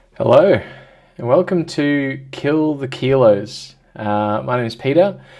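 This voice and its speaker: With an Australian accent, a man speaks at a very slow pace in a dark, mellow tone, his fairly high pitch carrying lively intonation. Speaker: vlogger. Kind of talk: personal vlog. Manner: halting, many fillers.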